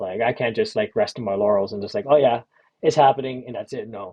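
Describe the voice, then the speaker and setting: Medium in pitch and relaxed in tone, a man's voice moves through very wide pitch swings. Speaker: digital artist and creative entrepreneur vlogger. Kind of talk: casual vlog update. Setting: hotel room. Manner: relaxed, rambling with many fillers.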